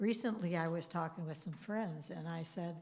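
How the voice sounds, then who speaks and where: Somewhat breathy and fairly low in pitch, a woman speaks at a moderate pace with ordinary pitch variation amid audible room echo. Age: 80s+. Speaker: congregation member sharing reflections. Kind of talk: personal testimony talk at a service. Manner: halting.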